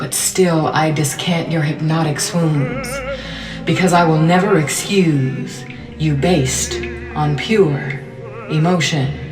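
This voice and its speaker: Music plays in the background as a woman with a very deep, low pitch talks at a very slow pace, with ordinary pitch variation. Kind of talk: spoken word poetry reading.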